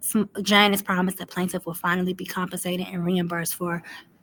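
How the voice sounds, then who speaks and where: In a medium pitch, a woman speaks with monotone, flat intonation. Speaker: commentary video host. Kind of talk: reading aloud a legal complaint with commentary. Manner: fast.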